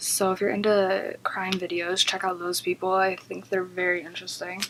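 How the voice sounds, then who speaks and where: The intonation stays monotone and flat. Noticeable background noise sits behind the voice. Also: woman. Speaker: beauty vlogger. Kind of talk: casual chat. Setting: at home. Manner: soft-spoken.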